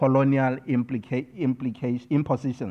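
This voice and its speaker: This man has a Botswana accent and a fairly high pitch. He keeps a moderate pace. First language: Setswana. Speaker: scholar and poet. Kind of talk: keynote speech. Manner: formal.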